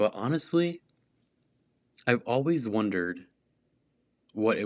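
A man with an American accent talks with lively intonation. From small conservative US town. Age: 20s. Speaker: podcast host. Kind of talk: casual monologue. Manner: casual, filler-heavy.

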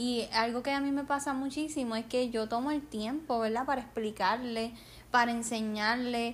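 A high-pitched woman with a Puerto Rican accent, fairly even intonation and a moderate pace. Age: 20s. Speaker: podcast host and nurse. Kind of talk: casual chat. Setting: home living room.

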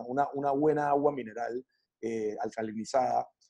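A man's dark, mellow tone. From Panama. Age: 40s. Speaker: wellness coach. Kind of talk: interview. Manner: hesitant, many fillers and repetitions.

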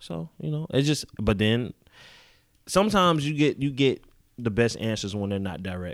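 Recorded very cleanly against a silent background, a man speaks with very wide pitch swings. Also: medium pitch for a man, moderate pace. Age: 30s. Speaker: music engineer. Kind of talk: casual chat.

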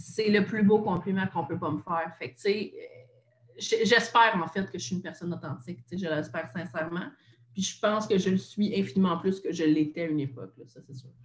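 A woman with a Quebec accent speaks at a fairly quick pace with a fairly low pitch and a somewhat breathy sound. Her intonation is lively and her loudness swings widely. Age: 20s. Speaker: content creator and podcaster. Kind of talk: casual interview chat.

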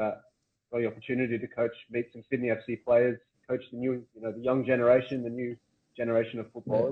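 In an Australian accent, a man speaks at a medium pitch and a very fast pace. His intonation is monotone and flat, with big swings in loudness. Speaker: podcast host. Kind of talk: casual interview chat.

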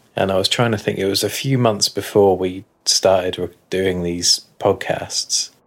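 This man has an ordinary speaking voice, fairly low in pitch, with ordinary pitch variation. He speaks at a fairly slow pace. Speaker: podcast co-host. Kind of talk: casual chat.

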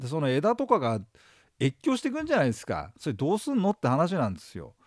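Very fast speech with vocal fry and very wide pitch swings comes through a dry, close recording with no echo. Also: man. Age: 50s. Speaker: exam prep lecturer. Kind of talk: lecture. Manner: casual, filler-heavy.

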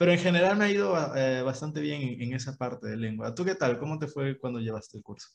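Lively in intonation, a man talks at a very fast pace with hardly any pauses. His pitch sits at a medium level. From Peru, Ica. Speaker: university student podcast co-host. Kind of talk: casual chat.

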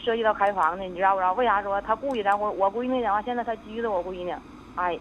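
A woman is speaking here. Her pace is very fast. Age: 40s. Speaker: caller. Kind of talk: phone call-in. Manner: halting.

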